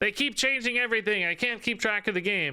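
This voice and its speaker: A man puts on a whiny character voice, high in pitch and raised to project. He talks at a fairly quick pace with a whiny tone throughout. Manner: whiny, complaining.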